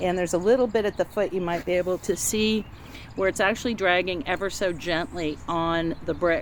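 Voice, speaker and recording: The woman has an ordinary speaking voice at medium pitch, with ordinary pitch variation. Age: 60s. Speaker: novice home DIYer. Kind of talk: casual tutorial walkthrough. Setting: outdoors in garden. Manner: casual, with fillers.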